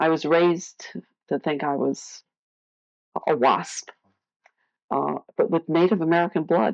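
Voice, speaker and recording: Her pitch is very deep and low, with vocal fry and ordinary variation, as the woman speaks at a moderate pace. The sound is dry and close with no echo, and the background is quiet. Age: 60s. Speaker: adoptee sharing her story. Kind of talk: testimony.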